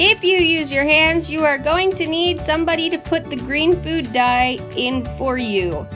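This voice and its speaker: A woman at a fairly slow pace, with music in the background. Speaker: amateur home baker. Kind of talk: casual baking tutorial talk. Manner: rambling, chatty.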